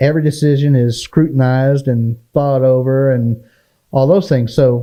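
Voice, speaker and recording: A man with a dark, mellow tone speaks at a moderate pace in a medium pitch with fairly even intonation. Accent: American. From Oklahoma (Checotah). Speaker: local businessman and civic volunteer. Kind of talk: casual interview chat.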